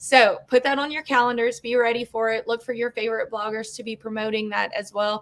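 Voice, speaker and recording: A woman with an American accent, fairly high in pitch, at a fairly quick pace with ordinary pitch variation. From Louisiana (Cajun). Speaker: webinar host, homeschool business owner. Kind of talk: casual webinar hosting. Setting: video webinar.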